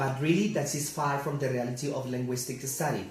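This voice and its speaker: A man with a Spanish accent speaks fairly quickly at a fairly high pitch, his intonation fairly even. Noticeable background noise and audible room echo fill the recording. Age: 30s. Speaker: English teacher. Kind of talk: class presentation. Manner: halting.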